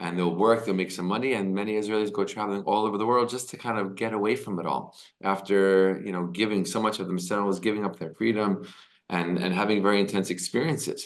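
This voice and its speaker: A man speaks at a very fast pace with an American accent. His pitch is fairly low. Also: fairly even intonation. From United States. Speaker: video host explaining Israeli society. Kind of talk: casual explainer monologue.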